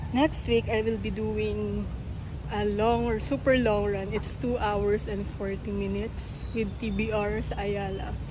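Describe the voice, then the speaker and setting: The voice moves at a very slow pace. Noticeable background noise and audible room echo fill the recording. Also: woman. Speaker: vlogger, amateur marathon runner. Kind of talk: casual vlog.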